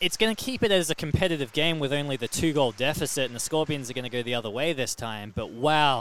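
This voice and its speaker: An unremarkable speaking voice at a fairly quick pace with ordinary pitch variation, on a very clean recording against a silent background. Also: man. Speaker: radio commentator. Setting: arena broadcast booth. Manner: excitable, rapid-fire and breathless, reacting in real time to near misses; jokey, bantering with co-commentator.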